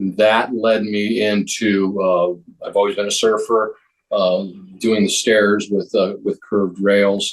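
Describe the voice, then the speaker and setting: The speaker is a man with an American accent. His pitch is fairly low. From California. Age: 60s. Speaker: surfboard builder and retired contractor. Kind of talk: interview. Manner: halting, many fillers.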